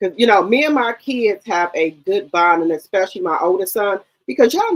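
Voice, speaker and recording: Lively intonation from a woman with a mid-range pitch. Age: 50s. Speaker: live stream host discussing reality TV gossip. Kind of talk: casual chat. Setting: live stream.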